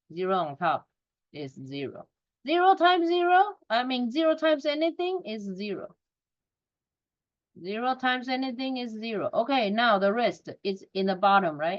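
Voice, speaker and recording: Pausing long and often, a woman with a non-native accent speaks at a moderate pace in a high voice with very wide pitch swings. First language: not English. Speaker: math teacher. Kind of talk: recorded lesson.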